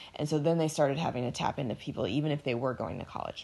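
Lively intonation and vocal fry come through over a quiet background. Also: woman. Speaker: podcast co-host. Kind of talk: casual chat.

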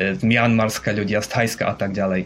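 A man talks at a moderate pace and medium pitch over noticeable background noise. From Slovakia, Košice. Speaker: expat living in Japan. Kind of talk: interview. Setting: remote call.

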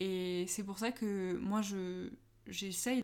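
A woman's medium-pitched voice carries fairly even intonation. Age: 20s. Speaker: art director in packaging design. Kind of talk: casual interview.

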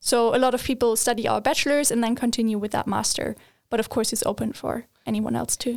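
In a very clean recording with a silent background, a woman talks very fast with a German accent. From Germany. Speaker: recent university graduate. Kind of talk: casual interview.

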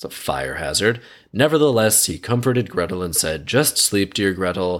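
Recorded very cleanly against a silent background, a man with an ordinary speaking voice talks at a moderate pace, his fairly low pitch carried by lively intonation. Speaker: podcast host. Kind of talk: scripted fairy-tale narration read aloud, broken by sarcastic commentary. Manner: storyteller's tone for quoted dialogue, then snarky, irreverent, casually sweary asides; conversational, jokey.

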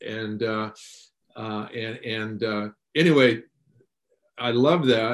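Fairly level intonation from a male speaker at a mid-range pitch. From Tacoma, Washington, US. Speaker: former pro football player and trainer. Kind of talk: casual interview. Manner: halting, many fillers.

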